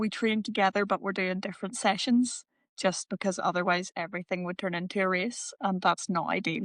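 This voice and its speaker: A woman with an Irish accent speaks at a medium pitch and a fairly quick pace, with fairly even intonation. The sound is dry and close with no echo against a quiet background. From Northern Ireland. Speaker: paratriathlete. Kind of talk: casual interview.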